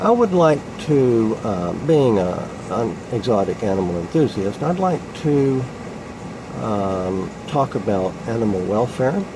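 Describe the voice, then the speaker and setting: Noticeable background noise and audible room echo accompany a man speaking at a medium pitch. He talks at a fairly slow pace with very wide pitch swings. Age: 60s. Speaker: exotic animal hobbyist. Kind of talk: public submission monologue. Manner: halting, many fillers.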